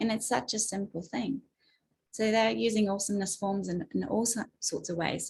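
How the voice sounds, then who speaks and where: With a slight New Zealand accent, a woman speaks at medium pitch and a moderate pace, with vocal fry and ordinary pitch variation. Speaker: advocate and speaker. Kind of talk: webinar talk.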